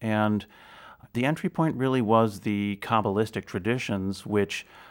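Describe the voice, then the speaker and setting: In a very clean recording with a silent background, a man with an American accent and a plain, everyday voice speaks at a moderate pace, his fairly low pitch moving in fairly even intonation. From US Midwest, Chicago area. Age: 50s. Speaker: researcher of music and spirituality. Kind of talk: interview.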